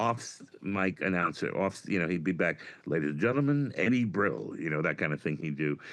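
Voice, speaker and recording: A man with a New York accent speaks at a moderate pace with vocal fry and very wide pitch swings over a quiet background. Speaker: comedian. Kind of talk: casual chat. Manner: animated.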